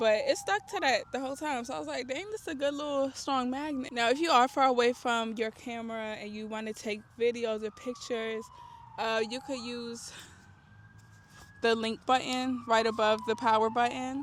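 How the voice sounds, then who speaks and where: Speaking at a moderate pace, a woman uses a high pitch with ordinary pitch variation and big swings in loudness. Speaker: beginner tech vlogger. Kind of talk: tutorial. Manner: casual, chatty.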